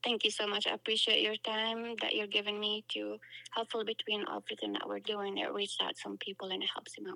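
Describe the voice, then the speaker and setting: Speaking fairly quickly with a non-native accent, a woman is heard in a dry, close sound with no echo. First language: not English. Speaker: author. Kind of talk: interview.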